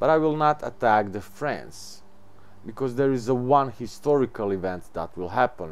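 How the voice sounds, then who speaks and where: Fairly low in pitch, this man speaks with a non-native accent. His pitch swings very widely at a fairly slow pace. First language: not English. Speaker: gaming video creator. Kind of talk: gameplay tutorial.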